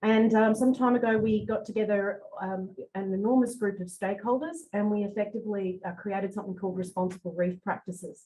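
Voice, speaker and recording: A woman speaks at a fairly quick pace in a dark, mellow tone. Her voice is somewhat breathy, with ordinary pitch variation. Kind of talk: presentation about reef practices. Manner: fast talker.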